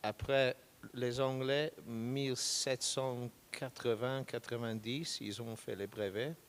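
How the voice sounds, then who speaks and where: In a British accent, a man speaks at a very slow pace. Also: medium pitch for a man, fairly even intonation. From Britain. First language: English (speaking French). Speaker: product manager. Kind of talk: panel discussion. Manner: halting non-native French.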